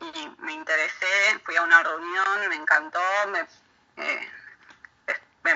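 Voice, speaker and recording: A woman with lively intonation talks at a medium pitch. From Argentina. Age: 30s. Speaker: amateur footballer and social worker. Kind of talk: recorded interview excerpt. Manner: halting.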